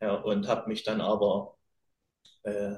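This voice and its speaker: At a fairly slow pace, a man's somewhat breathy voice carries his words. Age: young. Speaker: fitness podcast co-host. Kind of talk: casual chat. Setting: video call.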